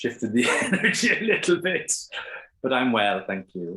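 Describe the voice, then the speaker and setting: A man speaks at medium pitch with an Irish accent. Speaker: trance medium. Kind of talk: casual chat.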